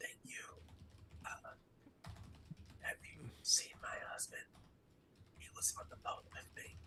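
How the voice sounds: A raspy, whispering put-on character voice moves at a fairly slow pace with long, frequent pauses.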